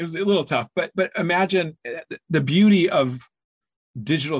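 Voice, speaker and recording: Speaking at a moderate pace with an American accent, a man has an unremarkable speaking voice and ordinary pitch variation. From rural US. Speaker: author and think tank founder. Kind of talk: interview conversation.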